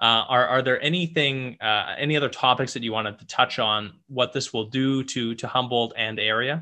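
Here is a man with a normal speaking voice at a medium pitch. He keeps a moderate pace with hardly any pauses. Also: fairly even intonation. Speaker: podcast host and mortgage professional. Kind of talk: casual interview.

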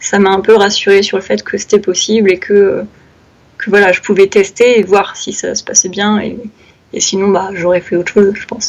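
A woman at medium pitch and moderate pace, in a monotone, flat intonation. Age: 20s. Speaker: freelance graphic designer and illustrator. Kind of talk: casual interview.

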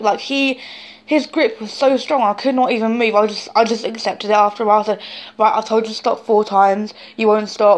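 Spoken with a British accent, the words come at a fairly quick pace. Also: woman. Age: young. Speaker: vlogger. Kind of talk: personal testimony. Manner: animated; halting.

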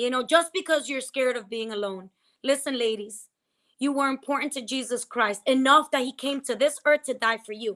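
A woman's high, bright, sharp voice with an animated tone, a fairly quick pace and ordinary pitch variation, on a very clean recording with a silent background. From New Jersey. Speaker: pastor and podcast host. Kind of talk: casual chat with faith teaching. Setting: livestream on Instagram.

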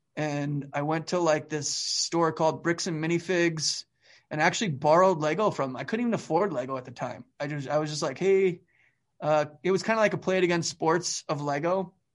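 A man with a Canadian accent talks at a fairly quick pace in a fairly high voice, with ordinary pitch variation over a quiet background. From Calgary, Alberta, Canada. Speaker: stop motion animator. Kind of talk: casual interview chat. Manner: animated.

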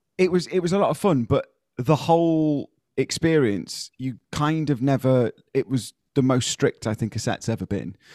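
A man talks at a moderate pace with lively intonation and a fairly high pitch. He has a normal speaking voice. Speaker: podcast host. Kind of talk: casual chat. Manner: chatty, joking.

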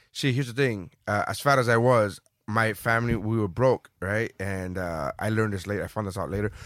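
A man with an ordinary speaking voice and fairly low pitch talks at a fairly quick pace with hardly any pauses. His pitch varies in an ordinary way, on a very clean recording with a silent background. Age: 30s. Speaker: comedian. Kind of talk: casual chat.

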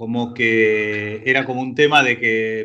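A man with a Rioplatense accent speaks in a bright, sharp tone. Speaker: film director. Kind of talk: casual chat.

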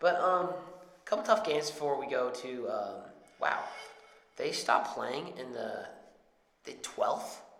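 A man with an American accent talks, leaving long, frequent pauses. His loudness swings widely, and background noise is noticeable. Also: fairly slow pace. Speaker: podcast co-host. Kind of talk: casual banter about football and betting picks.

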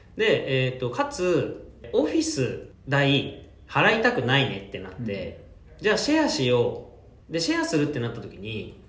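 The speech goes at a moderate pace. Audible room echo and noticeable background noise are present. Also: man. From Japan, Kanto (Yokohama, Kanagawa). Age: 30s. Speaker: startup founder and CEO. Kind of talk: interview.

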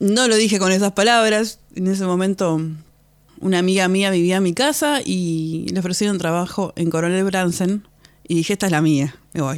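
A woman's medium-pitched voice at a moderate pace and very even loudness. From Argentina, San Vicente (Buenos Aires province). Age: 30s. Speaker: podcast host. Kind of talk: personal storytelling monologue. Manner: halting, with frequent repetitions.

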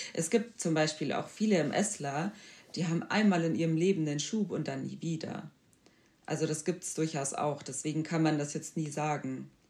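A woman speaks with a very deep, low pitch and ordinary pitch variation. Her pace is moderate. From Bavaria, Germany. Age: 20s. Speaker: podcast guest with multiple sclerosis. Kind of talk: interview.

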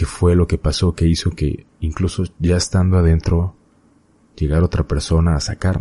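In a central Mexican accent, a man speaks at a moderate pace with a very deep, low pitch, monotone, flat intonation and very even loudness, in a dry, close sound with no echo. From Mexico, Hidalgo. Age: 20s. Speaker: podcast host. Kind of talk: solo podcast monologue, personal storytelling. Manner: hesitant with fillers and repetitions.

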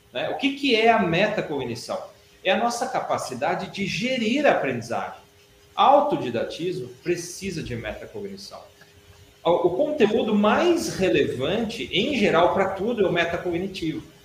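Through noticeable background noise and audible room echo, a man speaks at a moderate pace in a high pitch with very wide pitch swings. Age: 40s. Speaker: educator and teacher in a spiritual-science institute. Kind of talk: interview on a live stream. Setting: online live stream.

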